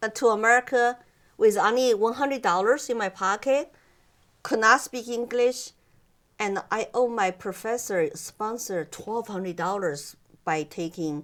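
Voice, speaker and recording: Recorded very cleanly against a silent background, a woman with a Chinese accent speaks at a fairly high pitch with lively intonation. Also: fairly slow pace. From China. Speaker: immigrant guest interviewee. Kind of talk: interview. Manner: halting, with many fillers.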